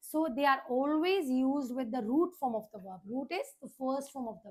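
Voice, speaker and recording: Using an Indian accent, a woman speaks at a fairly slow pace, her high pitch carrying ordinary pitch variation. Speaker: teacher. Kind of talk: lecture.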